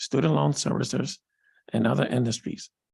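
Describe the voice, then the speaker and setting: This man talks at a moderate pace, his pitch swinging very widely. There is vocal fry, and the sound is dry and close with no echo. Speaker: state banking commissioner at confirmation hearing. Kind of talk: formal testimony at legislative hearing. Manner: formal.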